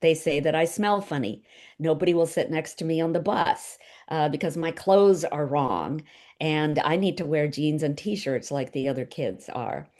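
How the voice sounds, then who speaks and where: Here a woman speaks with an American accent and a very deep, low pitch. The background is quiet. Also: ordinary pitch variation, moderate pace. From India, raised in the US from the sixties. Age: 60s. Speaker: novelist. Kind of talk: book club talk over video call. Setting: video call. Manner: hesitant, many fillers.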